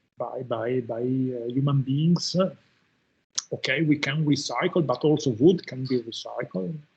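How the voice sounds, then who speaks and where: Somewhat breathy, a man talks at a fairly slow pace with a medium pitch and ordinary pitch variation. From Italy, Udine. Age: 60s. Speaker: professor. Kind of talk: lecture. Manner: halting, many fillers and repetitions.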